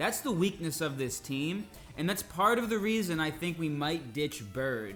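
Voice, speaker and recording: Music plays behind a man speaking at a fairly high pitch. His pitch swings very widely. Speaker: English teacher and gamer. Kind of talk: gameplay commentary for learners. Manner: slow.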